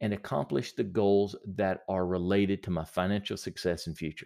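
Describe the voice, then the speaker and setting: Moderate pace from a man with an unremarkable speaking voice and fairly low pitch, on a very clean recording with a silent background. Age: 40s. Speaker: productivity podcast host and small business owner. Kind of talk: solo podcast monologue.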